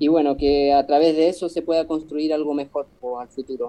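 A fairly high-pitched man at a fairly quick pace. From Chile, Patagonia (Puerto Cisnes). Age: 30s. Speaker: street musician, accordion player. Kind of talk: casual interview.

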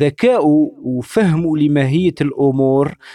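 A man with an Algerian accent speaks at a fairly high pitch and a very slow pace. The sound is dry and close, with no echo. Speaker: online radio host. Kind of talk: radio talk show monologue. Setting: online radio broadcast.

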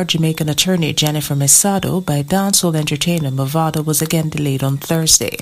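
Against noticeable background noise, a woman speaks at a fairly low pitch with ordinary pitch variation. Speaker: newsreader. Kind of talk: news reading.

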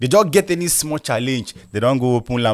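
A man speaks at a fairly quick pace with a Nigerian accent. His pitch varies in an ordinary way. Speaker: football podcast host. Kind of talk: casual solo commentary. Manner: animated.

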